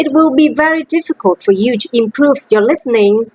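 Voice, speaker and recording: A woman with a Vietnamese accent, high-pitched with lively intonation at a fairly slow pace, in a dry, close sound with no echo. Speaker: language teacher. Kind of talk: teaching demo lesson.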